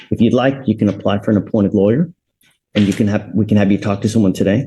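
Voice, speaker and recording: Speaking very fast, a man uses a fairly low pitch and a dark, mellow tone that is somewhat breathy. His intonation is fairly even, and his loudness is very even. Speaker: judge. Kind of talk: court hearing. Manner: stern.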